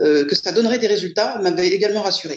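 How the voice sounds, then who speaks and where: A woman's medium-pitched voice rises and falls in very wide pitch swings. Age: 50s. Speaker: client giving a testimonial. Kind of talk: testimony. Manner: hesitant, many fillers.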